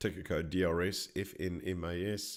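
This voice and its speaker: With an Australian accent and a very deep, low pitch, a man speaks in fairly even intonation on a very clean recording with a silent background. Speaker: stock market educator. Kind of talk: live presentation tutorial. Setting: live stream.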